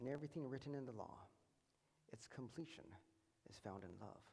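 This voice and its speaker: Talking at a very fast pace, a man with a medium-pitched voice is heard with audible room echo. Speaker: preacher. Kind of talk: sermon. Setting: church.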